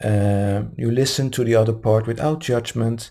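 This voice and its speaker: Recorded very cleanly against a silent background, a man with a non-native accent, a medium pitch and a dark, mellow tone speaks somewhat breathily at a moderate pace. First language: not English. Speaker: meditation group host. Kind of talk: live podcast talk on love. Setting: live-streamed recording. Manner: halting, with stumbles.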